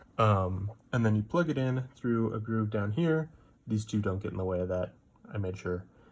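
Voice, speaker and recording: This man's voice sits fairly low and sounds somewhat breathy. His pitch moves in an ordinary way. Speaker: student. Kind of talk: project presentation demo. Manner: hesitant, many fillers.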